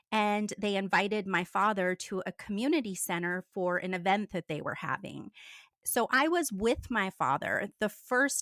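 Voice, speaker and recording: An ordinary speaking voice with an American accent, moderate pace and ordinary pitch variation, dry and close with no echo on a very clean recording with a silent background. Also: woman. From US. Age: 50s. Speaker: former cult member. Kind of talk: interview testimony.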